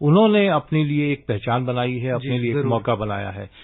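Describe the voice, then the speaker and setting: A man talks at a moderate pace with a medium pitch. He has a normal speaking voice. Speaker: senior sports expert, studio guest. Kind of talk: radio studio discussion, expert commentary.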